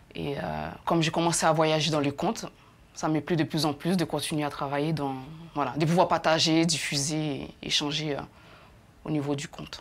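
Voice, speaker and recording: A woman's very deep, low voice, flat and monotone at a moderate pace, broken by long, frequent pauses. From Haiti. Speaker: actress and storyteller. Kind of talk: TV interview answer.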